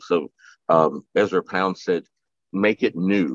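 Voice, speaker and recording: The voice has an American accent and a dry sound with no echo, set against a quiet background. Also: man. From US South. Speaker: poet and moderator. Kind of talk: panel discussion. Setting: video call. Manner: halting. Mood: warm, amused. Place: home room. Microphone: video call.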